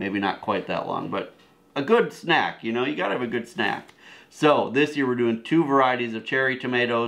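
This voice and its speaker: With an American accent, a man talks at a fairly quick pace and ordinary pitch variation. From Wisconsin. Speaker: homesteading video co-host. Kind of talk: casual gardening talk to camera. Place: home room. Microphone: camera far.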